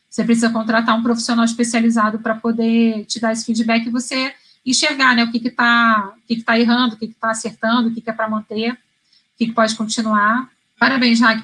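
Her pitch is fairly high and her intonation flat and monotone. The woman talks at a fairly quick pace. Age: 30s. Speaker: career coach. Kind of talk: live stream talk. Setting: live stream.

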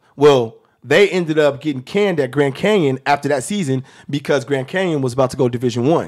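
Fairly high-pitched man with an American accent and a normal speaking voice, at a fairly quick pace with ordinary pitch variation. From US Northwest, South Seattle. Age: 30s. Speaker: former college basketball player and actor. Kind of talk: casual chat.

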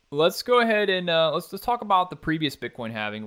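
On a very clean recording with a silent background, a man's voice comes through with a bright, sharp tone. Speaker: podcast host. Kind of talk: solo podcast explainer. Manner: casual, with frequent fillers and repeats.

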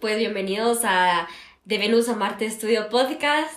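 There is audible room echo around a woman speaking. She has a fairly high pitch with ordinary pitch variation. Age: 20s. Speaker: university student and podcast co-host. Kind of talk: casual chat. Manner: fast.

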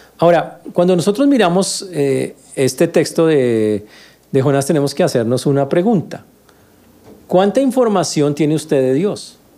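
This man's fairly high voice has a dark, mellow tone and lively intonation, moving at a fairly slow pace. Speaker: pastor. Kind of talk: sermon. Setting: church. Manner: animated, teaching, conversational tone.

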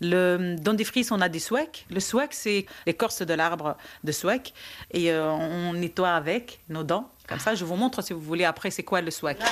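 In a very clean recording with a silent background, a woman talks at a fairly slow pace with a fairly low pitch and ordinary pitch variation. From Tunisia, Djerba. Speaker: childminder. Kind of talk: casual interview. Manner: hesitant.

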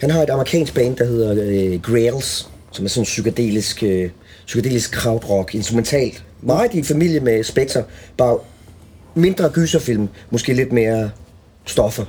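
This man's medium-pitched voice is somewhat breathy, with a dark, mellow tone and lively intonation. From Denmark, Als (southern Jutland). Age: 40s. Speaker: guitarist. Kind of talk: casual chat. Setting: backstage room at a music venue.

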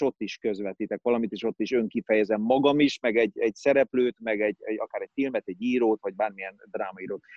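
Using a normal speaking voice, a man at medium pitch talks at a fairly quick pace with hardly any pauses. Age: 40s. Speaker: actor. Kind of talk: casual chat.

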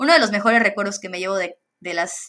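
A woman's ordinary speaking voice at a medium pitch, with lively intonation. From Mexico, Campeche. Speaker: solar energy professional. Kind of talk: interview.

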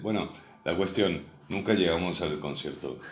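There is audible echo from the room. The man's pitch moves in an ordinary way. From Uruguay, Montevideo. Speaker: former pirate radio broadcaster. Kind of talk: casual chat.

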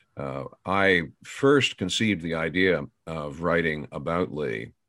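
Vocal fry runs through a man's very deep, low voice, heard with an American accent and ordinary pitch variation. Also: very clean recording, silent background. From Pennsylvania, US. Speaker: historian, professor. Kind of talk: interview.

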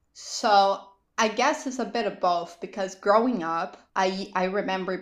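In a very clean recording with a silent background, a woman with a Portuguese accent speaks at a fairly slow pace, her medium pitch showing ordinary variation. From Brazil. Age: 20s. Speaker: lawyer and business owner. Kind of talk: casual interview. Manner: talkative.

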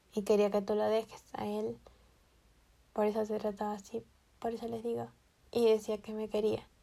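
A woman speaks in a dark, mellow tone with a fairly high pitch. Her intonation is monotone and flat, broken by long, frequent pauses. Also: moderate pace. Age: 20s. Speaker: podcast host, psychology student. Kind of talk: casual monologue.

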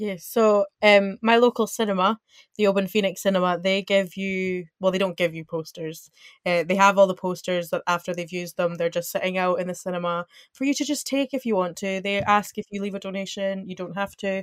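An ordinary speaking voice from a woman, medium in pitch, fairly quick, with fairly even intonation and a dry, close sound with no echo. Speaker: university student. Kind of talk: casual chat. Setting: video call.

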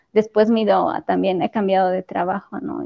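A woman with an ordinary speaking voice, medium in pitch, at a fairly slow pace with fairly even intonation. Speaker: church choir leader and teacher. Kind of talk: casual chat.

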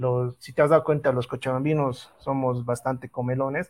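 Fairly even intonation marks an unremarkable speaking voice delivered at a moderate pace. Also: man. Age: 30s. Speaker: photographer, event organizer. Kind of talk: interview.

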